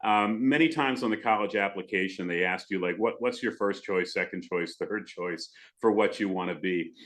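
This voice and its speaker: A man with a plain, everyday voice speaks at a fairly quick pace, his pitch fairly low and his pitch variation ordinary. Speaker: radio broadcaster. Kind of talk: podcast interview answer.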